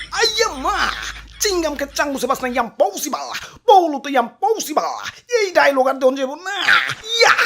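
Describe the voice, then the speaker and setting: A put-on character voice, high-pitched and whiny, moves at a moderate pace. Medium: cartoon. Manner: whiny and jumpy, with exclamations like "আইয়ে মা".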